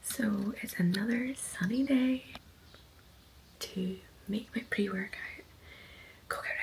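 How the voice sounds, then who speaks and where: Over noticeable background noise, a woman talks with big swings in loudness and long, frequent pauses. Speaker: fitness coach and vlogger. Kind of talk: casual vlog chat. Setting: at home early morning.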